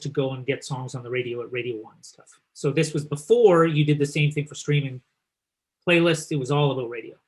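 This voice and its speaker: Somewhat breathy and fairly high-pitched, a man with a Canadian accent keeps his intonation fairly even. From eastern Canada. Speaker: company founder and event host. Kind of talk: webinar presentation.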